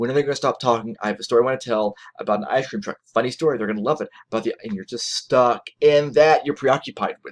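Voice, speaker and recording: Very fast speech comes from a man with ordinary pitch variation and big swings in loudness. The sound is dry and close, with no echo. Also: medium pitch for a man. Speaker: college lecturer. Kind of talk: lecture. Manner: animated.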